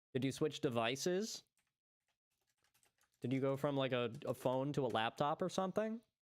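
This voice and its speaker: A man speaks at a moderate pace with a fairly high pitch and lively intonation. His loudness stays very even, broken by long, frequent pauses. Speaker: game developer livestreamer. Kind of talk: live coding stream chat. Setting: livestream. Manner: soft-spoken; halting.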